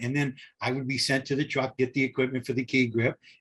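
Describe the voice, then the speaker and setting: There is some breathiness in the man's voice. He talks at a medium pitch. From Southern California. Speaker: film grip and author. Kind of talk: interview storytelling. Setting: podcast. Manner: animated.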